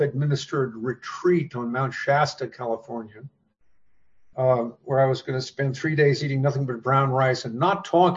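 A man's fairly high-pitched voice, somewhat breathy. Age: 70s. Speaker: author. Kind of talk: interview conversation.

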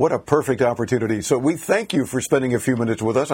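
A man talks at a very fast pace. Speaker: radio host. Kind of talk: live radio tech talk show. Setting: studio.

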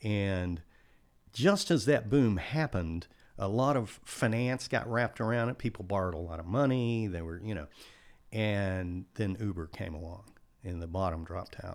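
In a normal speaking voice with an American accent, the speaker talks at a moderate pace with ordinary pitch variation on a very clean recording with a silent background. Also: man, fairly low pitch for a man. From Texas coast. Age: 60s. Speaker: accountant and business consultant. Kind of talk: casual interview.

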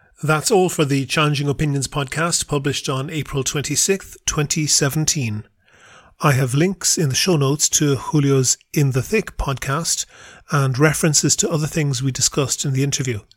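Here is a man with a fairly high voice. It comes across somewhat breathy. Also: ordinary pitch variation, moderate pace. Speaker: podcast host. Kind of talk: interview questions.

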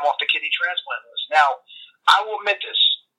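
A man talks with a New York accent. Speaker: health coach and former baseball player. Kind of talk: casual interview chat. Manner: blunt, enthusiastic.

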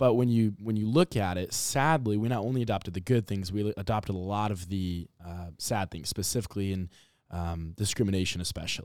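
On a very clean recording with a silent background, a man with an American accent has a plain, everyday voice, fairly low in pitch with ordinary pitch variation. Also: fairly quick pace. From Nebraska, Omaha. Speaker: program director of a youth civics program. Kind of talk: podcast interview.

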